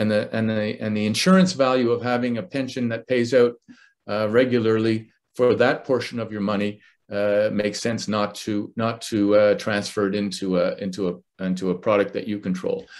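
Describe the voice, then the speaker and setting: A man with a normal speaking voice talks at a moderate pace. His fairly low pitch holds a fairly even intonation. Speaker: financial advisor. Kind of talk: webinar presentation.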